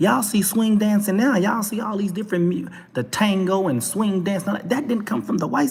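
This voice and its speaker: An animated speaker with a Texas accent talks over noticeable background noise. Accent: Texas twang. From Texas, Dallas. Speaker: talk show vlogger. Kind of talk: opinion rant monologue.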